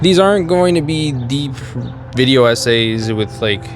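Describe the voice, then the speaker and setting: A man's medium-pitched voice with an American accent, ordinary pitch variation and a moderate pace, with audible room echo and music in the background. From US, Mexican American family. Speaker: YouTuber, design content creator. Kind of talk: casual opinion talk to camera. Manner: casual, conversational.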